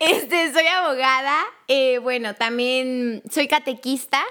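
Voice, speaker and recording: A woman speaks in a high voice at a fairly slow pace. Background noise is noticeable. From Mexico, Chiapas. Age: 20s. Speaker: lawyer, catechist and storytelling podcast narrator. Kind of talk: casual interview. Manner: animated.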